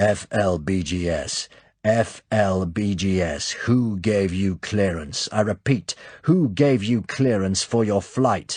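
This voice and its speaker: Using a put-on character voice, a man speaks at a fairly slow pace in a fairly low, resonant pitch. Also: quiet background. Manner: demanding, authoritative.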